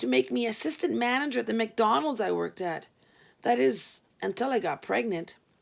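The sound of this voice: Reading in an unforced voice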